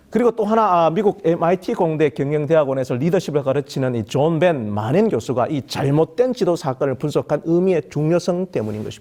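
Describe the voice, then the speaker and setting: With a Gyeongsang accent, a man speaks fairly quickly with hardly any pauses, his fairly high-pitched voice dark and mellow in tone and lively in intonation. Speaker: pastor. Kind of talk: sermon. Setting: online worship service. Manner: formal.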